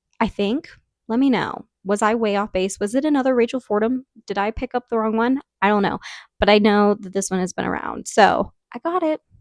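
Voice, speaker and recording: This animated voice comes through on a very clean recording with a silent background and a dry, close sound with no echo. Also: woman, fairly high pitch for a woman, ordinary pitch variation. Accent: slight Southern US. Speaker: book reviewer. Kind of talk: casual chat.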